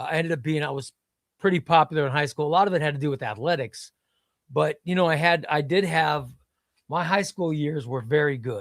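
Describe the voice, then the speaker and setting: With a Midwestern US accent, a man talks at a fairly quick pace in a fairly high pitch with ordinary pitch variation, the sound dry and close with no echo. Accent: US Midwest. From Illinois (Chicago, then small downstate town). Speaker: comics streamer. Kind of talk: casual chat. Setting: live stream.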